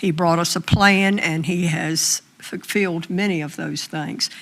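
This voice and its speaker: A woman with a Southern US accent talks in a fairly low pitch with fairly even intonation. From US South. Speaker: school board member. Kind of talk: public meeting remarks. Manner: slow.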